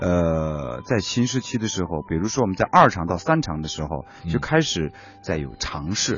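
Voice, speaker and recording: With music in the background, a man speaks at a moderate pace in a very deep, low voice with lively intonation. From Inner Mongolia. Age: young. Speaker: stage director. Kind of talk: interview. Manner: halting.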